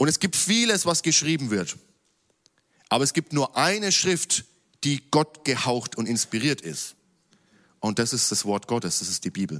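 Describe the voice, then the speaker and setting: A man at medium pitch talks at a moderate pace with vocal fry, very wide pitch swings and long, frequent pauses, in a very clean recording with a silent background and a dry, close sound with no echo. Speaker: preacher. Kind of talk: sermon in a church service, teaching from scripture. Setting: church. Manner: formal, earnest, teaching tone; lively, with light jokes to the congregation.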